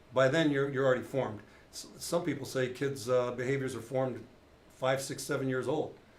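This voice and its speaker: Audible room echo surrounds a man of medium pitch. He speaks fairly quickly in a flat monotone. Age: 60s. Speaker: retired police officer. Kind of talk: casual chat.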